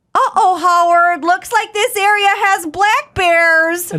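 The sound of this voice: In a put-on character voice with a Minnesota accent, a woman speaks at a fairly slow pace and an extremely high pitch.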